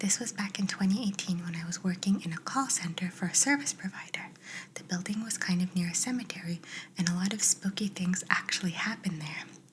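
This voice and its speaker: A soft-spoken woman talks at a very fast pace. Her pitch shows ordinary variation. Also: medium pitch for a woman. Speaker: ASMR creator. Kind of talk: reading aloud.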